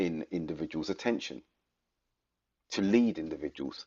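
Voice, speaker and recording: A man with a non-native accent. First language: not Arabic. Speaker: religious commentator. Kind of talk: lecture. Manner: formal.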